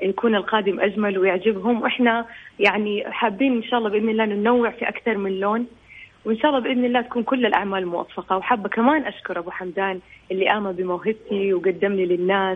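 Her intonation fairly even and her pitch medium, a woman talks in an ordinary speaking voice. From Saudi Arabia. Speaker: singer. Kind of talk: radio interview.

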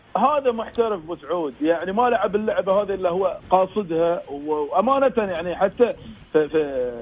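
A high-pitched male voice, fairly slow, with lively intonation over noticeable background noise. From Bahrain. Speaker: sports broadcaster and pundit. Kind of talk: casual sports discussion.

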